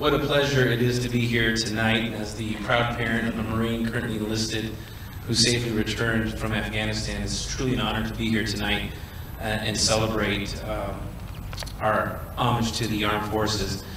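Strong room echo surrounds a man speaking in a monotone, flat intonation. Noticeable background noise sits behind him. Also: fairly quick pace. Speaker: event co-narrator. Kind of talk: ceremonial announcement. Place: street.

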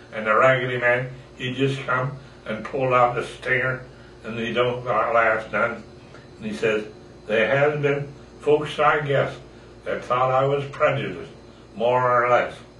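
A man speaks at a fairly slow pace with monotone, flat intonation and long, frequent pauses. Light background noise and audible room echo are present. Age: 80s+. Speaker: grandfather. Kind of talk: poetry reading. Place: home room. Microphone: camera far.

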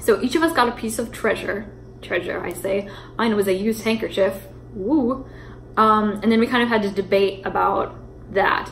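Against light background noise, a woman talks at a fairly quick pace with fairly even intonation. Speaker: vlogger. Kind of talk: casual vlog chat, storytelling. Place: kitchen. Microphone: phone near.

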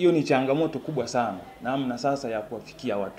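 This man's pitch varies in an ordinary way, his pace fairly quick, with light background noise present. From Tanzania, Shinyanga rural; Tanzania. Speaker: parliamentary aspirant. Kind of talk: interview. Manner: halting. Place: home room.

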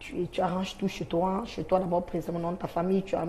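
A woman talks at a fairly low pitch. Light background noise sits behind her. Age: 20s. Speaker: sex worker; talk show guest. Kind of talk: testimony. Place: studio. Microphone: lapel.

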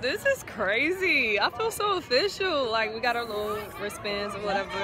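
A woman speaks at a moderate pace in a dry sound with no echo, with crowd noise in the background. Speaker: college band member vlogger. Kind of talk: casual vlog chat. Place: stadium. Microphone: phone near.

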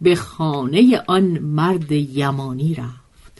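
A woman's somewhat breathy voice. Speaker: storyteller narrator. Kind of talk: literary storytelling reading.

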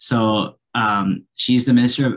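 With a fairly bright tone, a man speaks using ordinary pitch variation.

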